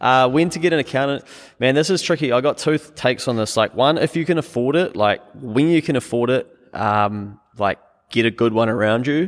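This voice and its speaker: Speaking with a New Zealand accent, a man talks at a fairly quick pace. His pitch is medium with ordinary variation. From New Zealand, small town. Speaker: accountant and business owner. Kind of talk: casual interview.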